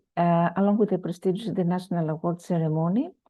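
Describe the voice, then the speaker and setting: Talking very fast, a woman speaks with a Greek accent. Her pitch is fairly low. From Greece. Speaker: conference speaker, researcher. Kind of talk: conference keynote presentation. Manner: hesitant with many fillers.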